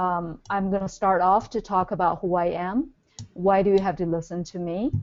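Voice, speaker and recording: At a moderate pace, the speaker talks with a Chinese accent and ordinary pitch variation. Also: woman, medium pitch for a woman. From China. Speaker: business speaker. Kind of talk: webinar presentation. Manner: halting.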